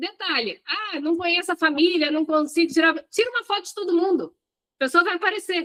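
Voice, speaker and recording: Speaking at a fairly quick pace, a woman has an extremely high pitch, a bright, sharp tone and ordinary pitch variation. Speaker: hospitality business coach. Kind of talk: live online class. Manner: animated.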